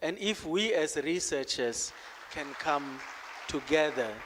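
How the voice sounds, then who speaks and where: The voice moves at a very slow pace, with crowd noise in the background. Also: man. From South Africa. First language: Khoisan click language. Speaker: conference speaker, researcher. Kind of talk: conference talk. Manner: hesitant, many fillers.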